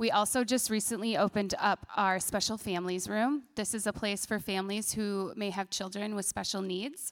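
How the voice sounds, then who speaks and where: A plain, everyday voice speaks at a moderate pace with hardly any pauses. Its intonation is fairly even, in a very clean recording with a silent background. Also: woman, medium pitch for a woman. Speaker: church children's ministry director. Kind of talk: testimony and church announcements.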